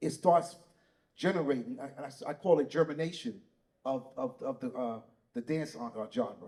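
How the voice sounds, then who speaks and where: A man's fairly high voice in a New York accent, dark and mellow in tone, with lively intonation, big swings in loudness, and long, frequent pauses. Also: moderate pace. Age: 60s. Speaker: breaking pioneer. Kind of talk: panel discussion.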